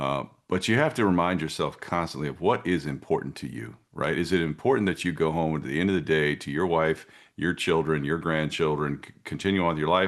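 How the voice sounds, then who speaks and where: The voice has vocal fry and ordinary pitch variation at a fairly quick pace. The background is quiet. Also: man, very deep, low pitch for a man. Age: 50s. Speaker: concealed carry instructor. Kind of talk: interview answer. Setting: video call.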